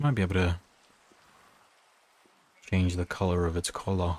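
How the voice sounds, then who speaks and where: A soft-spoken man with a very deep, low pitch, a gentle, somewhat breathy tone, fairly even intonation, very even loudness, a moderate pace and long, frequent pauses. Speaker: streamer. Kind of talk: sleep-aid gameplay commentary. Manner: soft-spoken, gentle.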